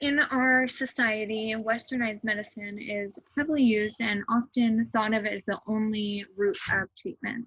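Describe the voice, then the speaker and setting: In an unremarkable speaking voice, a woman talks at a fairly high pitch and a moderate pace, with hardly any pauses. Her intonation is fairly even, and the sound is dry and close with no echo. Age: 20s. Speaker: student interviewer. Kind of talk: scripted narration.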